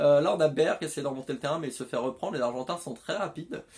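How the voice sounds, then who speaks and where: A man's animated, very fast delivery at a fairly high pitch. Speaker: YouTuber commentating video game football. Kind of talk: live commentary.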